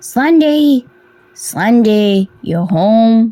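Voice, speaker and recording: A put-on character voice, female-sounding, at a fairly high pitch. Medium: read story.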